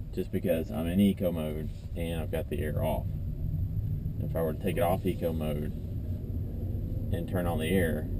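The speech moves at a moderate pace with ordinary pitch variation and long, frequent pauses, against noticeable background noise. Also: man. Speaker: car owner reviewing his car. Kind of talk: casual review while driving. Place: car. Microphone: camera far.

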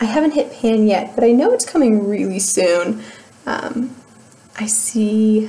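A woman speaks with an American accent. Her pitch variation is ordinary, with light background noise behind her. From US Midwest, Cleveland, Ohio. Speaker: beauty YouTuber. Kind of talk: casual vlog review. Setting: home video recording. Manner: animated, laughs often. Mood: cheerful, relaxed. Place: home room. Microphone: webcam.

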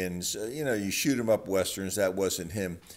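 The man speaks with a very deep, low pitch. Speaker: channel host. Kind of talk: casual nostalgic vlog chat. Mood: relaxed, reminiscing. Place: garage.

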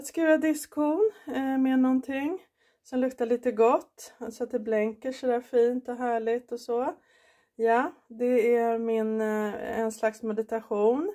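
Over a quiet background, a woman talks fairly slowly in a high voice with a dark, mellow tone and ordinary pitch variation. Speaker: vlogger. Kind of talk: guided meditation; casual vlog. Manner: soft, warm, unhurried; gentle, encouraging, instructing the listener step by step. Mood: calm, warm, grateful. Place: kitchen. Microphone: phone near.

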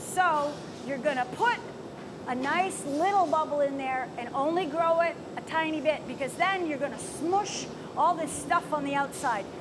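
A woman's high-pitched voice at a moderate pace, with ordinary pitch variation and noticeable background noise. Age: 60s. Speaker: visiting glass artist teaching a demo; visiting glass artist instructor. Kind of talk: live glassblowing demonstration and instruction. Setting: glass hot shop studio. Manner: animated. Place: workshop.

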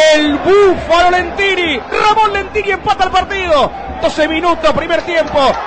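A man speaks in an animated tone at an extremely high pitch. Crowd noise can be heard behind him. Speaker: radio football commentator. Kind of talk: live football commentary. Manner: animated, excitable, fast-paced with shouted goal calls; repeated shouted phrases at peaks.

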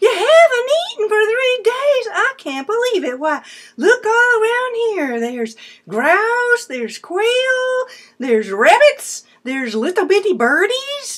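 In a put-on character voice, a woman squeaks at an extremely high pitch with very wide pitch swings. Her pace is fairly slow. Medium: read story. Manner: brash, boastful.

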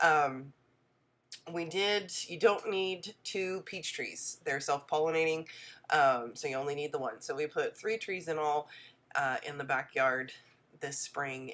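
Pitch variation is ordinary here. The speech unfolds fairly slowly. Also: woman. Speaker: homesteader vlogger. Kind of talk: casual video tutorial. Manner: friendly, conversational.

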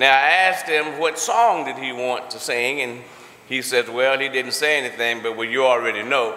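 With audible room echo and light background noise, a man speaks at a moderate pace with ordinary pitch variation. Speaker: church leader. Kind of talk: welcome and introduction. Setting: church. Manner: animated. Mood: warm, joking. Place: church. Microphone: podium.

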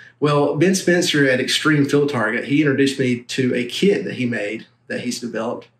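Audible room echo carries a man's voice as he speaks at a moderate pace with ordinary pitch variation. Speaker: airgun reviewer. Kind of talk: product review talk to camera. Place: home room.

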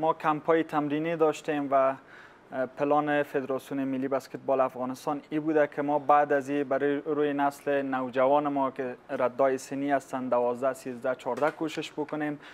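The man's pace is moderate. He keeps a monotone, flat intonation. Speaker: guest. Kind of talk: interview answer. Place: studio. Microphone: lapel.

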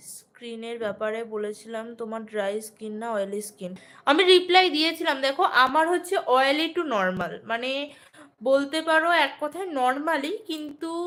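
Her high-pitched voice swings very widely up and down as the woman speaks. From West Bengal, Nadia district (Ranaghat). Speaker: vlogger. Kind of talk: live stream chat.

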